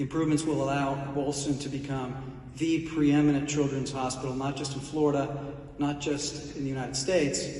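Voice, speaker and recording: Monotone, flat intonation comes at a fairly quick pace, with audible room echo and noticeable background noise. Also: man. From Italy, then Houston, Texas from age eight. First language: Italian. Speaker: corporate executive presenting a speaker at a charity event. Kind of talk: prepared introduction speech.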